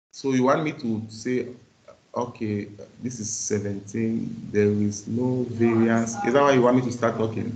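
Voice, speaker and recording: There is noticeable background noise and audible room echo. A medium-pitched man speaks in a flat monotone. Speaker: university lecturer. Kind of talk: lecture. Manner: fast.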